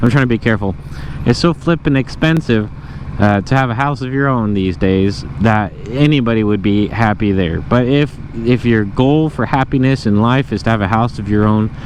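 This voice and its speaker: Noticeable background noise accompanies a man talking at a medium pitch and a moderate pace. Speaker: motovlogger. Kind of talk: casual monologue while riding. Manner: quieter than usual.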